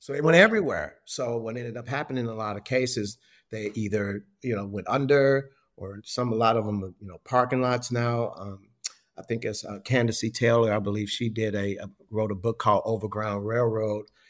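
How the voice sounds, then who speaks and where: A man with an American accent speaks in a normal speaking voice at medium pitch and a fairly quick pace, with fairly even intonation and big swings in loudness. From Chicago, US Midwest. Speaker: hospitality historian and author. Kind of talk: casual interview.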